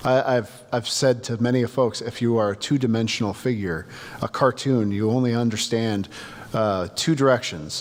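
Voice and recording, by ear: This is reading aloud in a natural voice. No other traits stand out.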